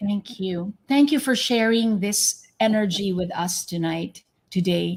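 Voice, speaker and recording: The voice is somewhat breathy. Its pitch shows ordinary variation. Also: woman, medium pitch for a woman, fairly slow pace. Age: 50s. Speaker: podcast host. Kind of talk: interview. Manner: animated.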